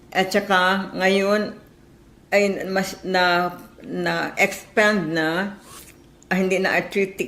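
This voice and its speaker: A woman with a medium pitch speaks at a very slow pace with fairly even intonation. Audible room echo surrounds her. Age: 80s+. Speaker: caller. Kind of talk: testimony.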